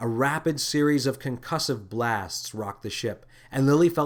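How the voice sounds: The voice reads in a natural way. Its pitch moves up and down to an ordinary degree.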